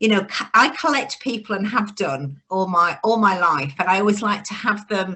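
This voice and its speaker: Using lively intonation and hardly any pauses, a woman with a northern English accent keeps a moderate pace. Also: medium pitch for a woman. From northern England, Bradford, West Yorkshire. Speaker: business networking founder. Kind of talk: podcast interview. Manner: conversational, with false starts.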